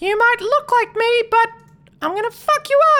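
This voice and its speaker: This put-on character voice is pitched extremely high. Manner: menacing, threatening.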